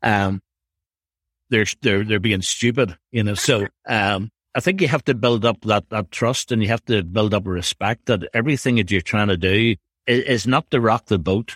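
A man with a Northern Irish accent talks at a moderate pace and fairly low pitch, with ordinary pitch variation and very even loudness. The sound is dry and close with no echo, on a very clean recording with a silent background. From Northern Ireland. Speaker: youth director at a church. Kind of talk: casual interview. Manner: halting, conversational, laughs often.

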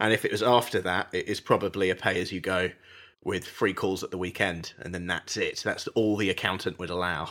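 The recording is very clean, with a silent background. A man with a British accent speaks fairly quickly in a very deep, low pitch, his tone bright and sharp and his intonation fairly even. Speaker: podcast host. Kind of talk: casual chat.

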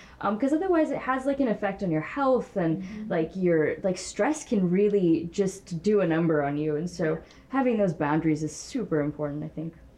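A woman at a medium pitch talks at a fairly quick pace with hardly any pauses and very wide pitch swings, over noticeable background noise. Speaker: tech startup founder. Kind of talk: panel discussion. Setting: stage with audience.

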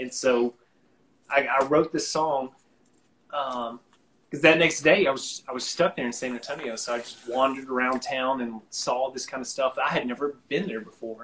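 With a normal speaking voice, a man talks at a moderate pace with fairly even intonation. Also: medium pitch for a man. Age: 20s. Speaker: singer-songwriter. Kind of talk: casual chat. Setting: online live stream.

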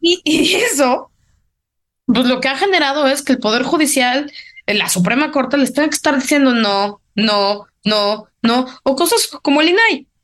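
A woman's high voice at a fairly slow pace, with lively intonation and very even loudness. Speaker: political analyst. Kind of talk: casual political discussion.

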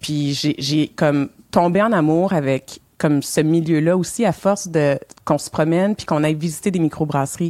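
The woman's pitch is very deep and low. Her tone is dark and mellow. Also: ordinary pitch variation, moderate pace. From Montreal, Quebec. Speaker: co-founder of a diversity initiative in the beer industry. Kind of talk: podcast interview.

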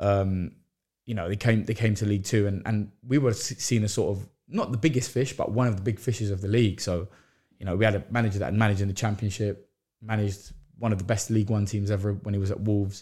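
Recorded very cleanly with a silent background, a man with a fairly low, dark, mellow and somewhat breathy voice speaks very fast with fairly even intonation. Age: 20s. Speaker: professional footballer, goalkeeper. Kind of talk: casual interview.

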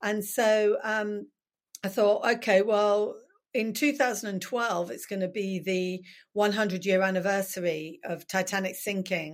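A woman at a medium pitch with a southern English accent, talking at a fairly slow pace in a very clean recording with a silent background. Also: ordinary pitch variation. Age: 50s. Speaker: author. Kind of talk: interview.

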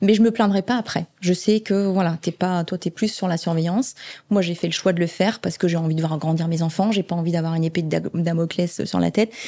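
A woman speaks at a fairly quick pace with a fairly low pitch. Her tone is dark and mellow, and her intonation is fairly even. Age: 50s. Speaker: oncology nurse manager. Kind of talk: interview. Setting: hospital ward. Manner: halting.

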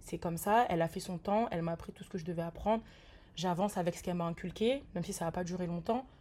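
Her tone dark and mellow, a woman talks at a very fast pace with fairly even intonation. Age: 20s. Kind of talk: testimony.

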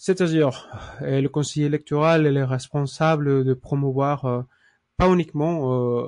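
The speaker has a Spanish accent and a fairly slow pace. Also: man. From Mexico. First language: Spanish (speaking French). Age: 30s. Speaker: lawyer. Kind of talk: interview. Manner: halting.

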